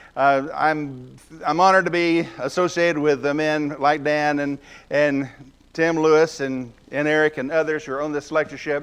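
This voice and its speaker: A man talks in a fairly high pitch with a Southern US accent. His intonation stays flat and monotone. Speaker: guest preacher. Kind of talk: sermon. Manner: fast.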